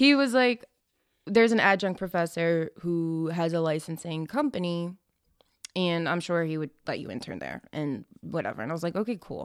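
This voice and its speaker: In an American accent, a woman with a fairly low pitch speaks at a moderate pace with lively intonation and big swings in loudness, the sound dry and close with no echo on a very clean recording with a silent background. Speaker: event and design company owner. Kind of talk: casual interview chat.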